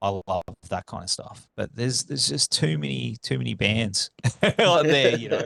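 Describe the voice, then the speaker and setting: In a dry, close sound with no echo, a male speaker talks with an Australian accent. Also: moderate pace. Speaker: podcast host. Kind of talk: casual chat.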